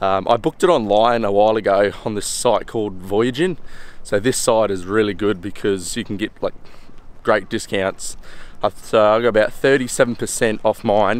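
In a dry sound with no echo, a man speaks at a moderate pace in a fairly low pitch with ordinary pitch variation. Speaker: travel vlogger. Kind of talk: casual vlog chat. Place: waterside. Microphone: phone near.

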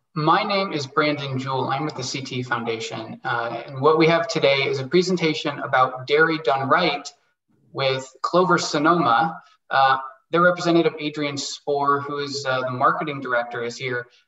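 In a room with audible echo but a quiet background, a man talks at a moderate pace in a bright, sharp tone with ordinary pitch variation. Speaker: webinar host. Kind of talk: event introduction. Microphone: video call.

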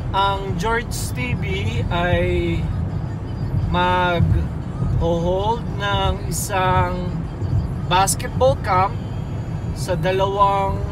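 Music plays in the background as a man talks at a very slow pace with long, frequent pauses. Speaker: vlogger, basketball camp facilitator. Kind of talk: casual vlog chat. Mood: relaxed, calm. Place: car. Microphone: phone near.

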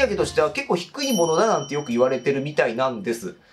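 A man talks at a very fast pace with very wide pitch swings. Music plays in the background. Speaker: game commentary creator. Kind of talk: commentary. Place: home room.

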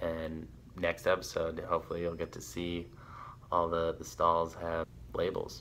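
A man's low, flat, monotone delivery with vocal fry

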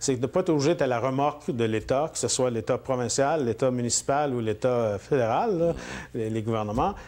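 A man speaking with ordinary pitch variation. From northern Ontario, Mattawa (Franco-Ontarian); Ontario. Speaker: politician. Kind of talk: interview. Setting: at his home. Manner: hesitant, many fillers. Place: studio. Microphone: lapel.

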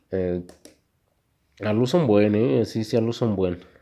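A man with a Mexican accent, fairly low pitch, ordinary pitch variation and a dark, mellow tone. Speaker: YouTuber. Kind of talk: casual unboxing video. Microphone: low quality recording.

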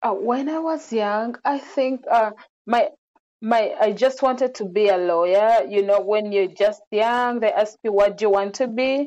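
A woman's fairly high voice, dark and mellow in tone, at a fairly slow pace. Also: ordinary pitch variation. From Uganda, Central Region; Uganda. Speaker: social worker; interview guest. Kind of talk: interview. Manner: hesitant with fillers. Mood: calm, reflective. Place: home room. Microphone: earbuds.

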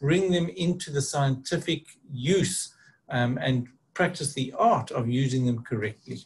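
A somewhat breathy man at a fairly slow pace. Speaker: presenter. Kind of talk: lecture. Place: home room. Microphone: webcam.

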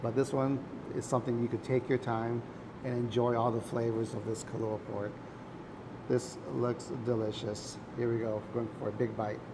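Against noticeable background noise, a man talks at a moderate pace in a monotone, flat intonation. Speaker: food vlogger. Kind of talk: casual food review vlog chat. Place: cafe. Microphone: lapel.

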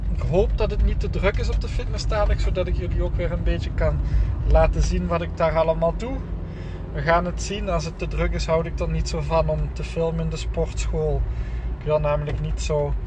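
A man speaks at a fairly quick pace. The sound is dry with no echo, though noticeable background noise is present. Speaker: fitness vlogger. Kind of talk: casual vlog chat. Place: car. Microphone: phone near.

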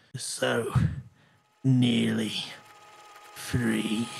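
A man puts on a character voice. It sounds raspy. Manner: weak, choking.

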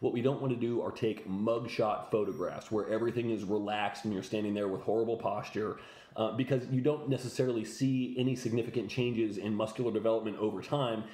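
A man talks at a very fast pace with hardly any pauses. His tone is dark and mellow, and there is audible room echo. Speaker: fitness coach. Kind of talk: tutorial. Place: home room. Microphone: phone near.

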